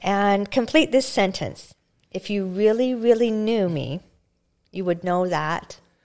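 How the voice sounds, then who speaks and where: A woman's fairly slow, lively-toned speech in a Canadian Prairies accent. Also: medium pitch for a woman. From rural Alberta, Canada. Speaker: podcast host. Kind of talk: casual interview; scripted intro.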